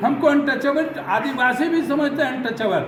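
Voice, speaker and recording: Background noise is noticeable throughout. The man's voice carries audible room echo. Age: 70s. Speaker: Dalit community leader, retired army officer. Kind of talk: press interview. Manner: animated.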